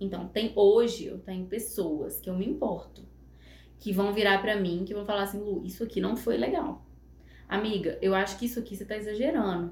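With audible room echo, a woman talks at a fairly quick pace in a medium pitch with ordinary pitch variation. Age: 30s. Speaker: psychologist and makeup artist. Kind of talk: casual interview chat.

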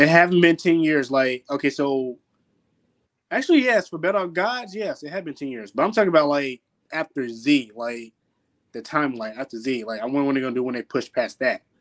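A man with a fairly high pitch and lively intonation, talking at a fairly quick pace, dry and close with no echo, over a quiet background. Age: 20s. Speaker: podcast co-host. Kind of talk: casual chat.

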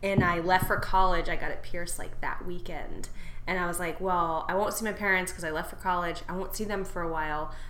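A woman talks at a fairly quick pace in a fairly low pitch with monotone, flat intonation. Noticeable background noise is present. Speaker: podcast co-host. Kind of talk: casual chat.

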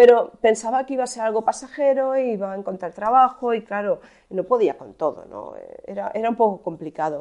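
With a dark, mellow tone, a woman speaks fairly quickly at a fairly high pitch, her intonation lively and her loudness swinging widely. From Spain, Alcoy (Alicante). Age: 40s. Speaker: online shop owner and content creator. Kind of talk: casual monologue. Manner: hesitant, many fillers.

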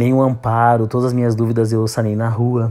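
Music plays in the background as a man speaks with monotone, flat intonation. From Santa Catarina, southern Brazil. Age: 30s. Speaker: podcaster. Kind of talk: personal monologue podcast.

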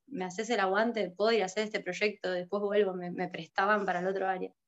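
A woman's monotone, flat delivery at a very fast pace. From Argentina, Santa Cruz (Río Gallegos). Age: 30s. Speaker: illustrator and graphic designer. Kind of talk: casual interview.

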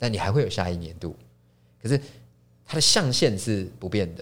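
A man with a Taiwanese accent talks at a moderate pace. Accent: Taiwanese Mandarin. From Taiwan, Taipei. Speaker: chef and restaurant founder. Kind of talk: casual interview. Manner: halting, frequent repetitions.

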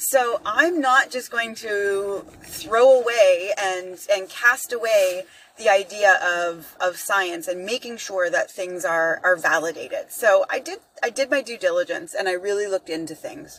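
A woman with a plain, everyday voice, lively intonation and a fairly slow pace. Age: 50s. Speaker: podcaster and fitness coach. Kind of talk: casual solo monologue. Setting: in a car.

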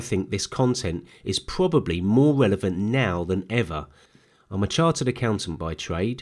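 The voice, with a London accent, moves at a moderate pace with very wide pitch swings. The recording is very clean, with a silent background. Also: man. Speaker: podcast host and accountant. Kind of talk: solo monologue podcast.

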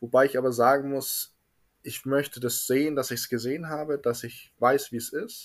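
Recorded very cleanly against a silent background, a man with an ordinary speaking voice talks at a moderate pace in a fairly high pitch. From Bavaria, Munich. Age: 20s. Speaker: refrigeration mechatronics technician. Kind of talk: casual interview.

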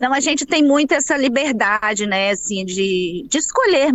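A woman talks at a moderate pace. She has a plain, everyday voice. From Espírito Santo, Brazil (Baixo Guandu, later Vitória). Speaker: psychologist. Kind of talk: interview.

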